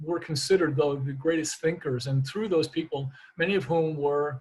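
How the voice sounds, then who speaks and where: Speaking at a fairly quick pace, a man sounds somewhat breathy, with fairly even intonation. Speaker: naturopathic physician. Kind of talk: lecture. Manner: fast; halting, many repetitions.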